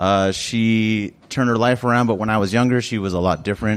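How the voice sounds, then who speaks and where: A man's fairly low voice with ordinary pitch variation and a moderate pace. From South Phoenix, Arizona. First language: Spanish. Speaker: storyteller. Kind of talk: storytelling at open mic. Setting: cafe stage with live audience. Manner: casual, animated.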